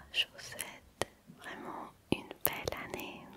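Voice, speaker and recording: A woman whispers at a very slow pace. Noticeable background noise runs underneath. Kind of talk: ASMR whisper video. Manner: whispered, close to microphone.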